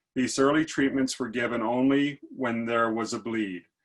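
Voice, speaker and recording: Male speaker, an ordinary speaking voice, fairly even intonation, medium pitch and a moderate pace. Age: 60s. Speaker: patient speaker. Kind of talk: reading a prepared personal story.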